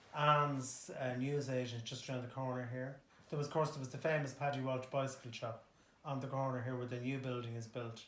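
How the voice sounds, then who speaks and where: This man speaks with a Dublin accent at a medium pitch. His delivery is fairly quick and monotone, with flat intonation. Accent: Dublin Irish. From Ireland, Dublin (Harold's Cross). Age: 60s. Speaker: local resident. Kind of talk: interview. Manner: hesitant, many fillers.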